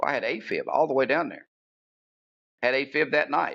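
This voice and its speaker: The speaker has an Appalachian accent. The pace is moderate. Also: man. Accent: Appalachian US Southern. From West Virginia, outside Bluefield. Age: 60s. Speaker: wrestling ring announcer. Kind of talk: casual interview chat.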